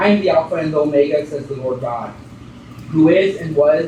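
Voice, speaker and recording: Over noticeable background noise, a man talks with a fairly high pitch and fairly even intonation. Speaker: preacher giving a sermon. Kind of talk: sermon preached to a congregation.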